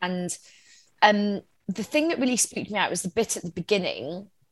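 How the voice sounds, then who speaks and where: An unremarkable speaking voice moves at a fairly quick pace with lively intonation over a quiet background. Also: woman. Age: 40s. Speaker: journalist, comedian and former political advisor. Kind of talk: casual chat.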